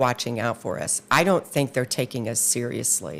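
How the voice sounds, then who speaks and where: A woman with an American accent speaks at a fairly slow pace in a very deep, low pitch with vocal fry. The recording is very clean, the background silent. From Indiana, US Midwest. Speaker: political candidate. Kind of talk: interview.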